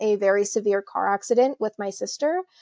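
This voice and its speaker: The recording is dry and close, with no echo, and features a woman with a Canadian accent and an unremarkable speaking voice. She is fairly high-pitched, with ordinary pitch variation. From Alberta, Canada. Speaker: entrepreneur. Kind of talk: casual interview.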